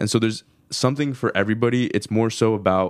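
Talking very fast, a man keeps a fairly low pitch and fairly even intonation. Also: very clean recording, silent background. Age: 20s. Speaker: podcast host and studio foundation member. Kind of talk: interview.

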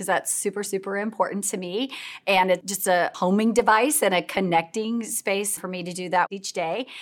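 A woman with a Midwestern American accent speaks at a moderate pace and medium pitch, her intonation fairly even but her loudness swinging widely, on a very clean recording with a silent background. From US Midwest, mid-Missouri. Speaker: nonprofit executive, former educator. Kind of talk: casual interview. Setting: in person, filmed live.

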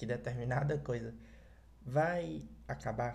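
Audible room echo on a man's very slow speech. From Ceará, Brazil. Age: young. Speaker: podcast host. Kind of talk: solo podcast monologue.

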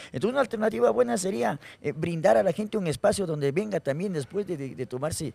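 Very fast and animated, a man rattles through his words. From Ecuador, Guaranda (Bolívar). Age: 40s. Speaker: comedian. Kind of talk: casual chat.

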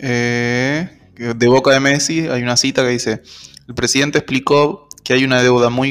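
Medium pitch from a man, with ordinary pitch variation and a moderate pace. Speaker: podcast co-host. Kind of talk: casual chat.

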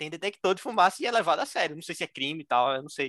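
Animated, very fast delivery with lively intonation, in a dry, close sound with no echo against a quiet background. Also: man. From Brazil, Recife (Pernambuco). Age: 20s. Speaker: engineering graduate admitted to Harvard. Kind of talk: interview storytelling.

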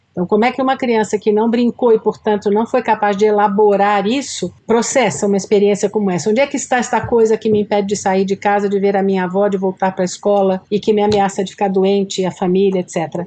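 Hardly pausing, a woman rushes along at a very fast pace, her medium pitch carried in a dark, mellow tone. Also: very even loudness. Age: 60s. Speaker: school director and educator. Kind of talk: podcast interview.

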